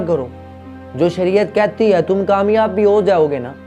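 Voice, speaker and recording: Music plays in the background. A man speaks with a high pitch. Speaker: Urdu motivational speaker / comedy content creator. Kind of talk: motivational speech to camera. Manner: preachy, animated, lecturing.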